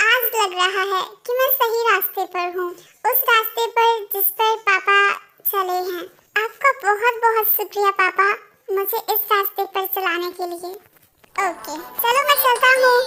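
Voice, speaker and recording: A woman performs a put-on character voice at an extremely high pitch, speaking at a moderate pace. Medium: fan dub. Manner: sincere, thoughtful.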